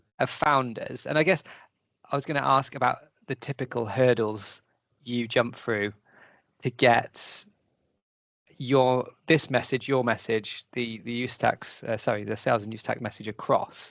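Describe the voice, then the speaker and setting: Someone with a British accent speaks at a moderate pace with long, frequent pauses over a quiet background. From Britain. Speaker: webinar host. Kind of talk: webinar interview.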